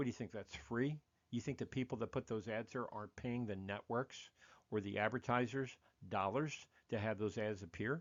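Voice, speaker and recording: Speaking at a fairly quick pace, a man uses a normal speaking voice at medium pitch with ordinary pitch variation. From United States. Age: 60s. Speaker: podcast host. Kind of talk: monologue podcast commentary.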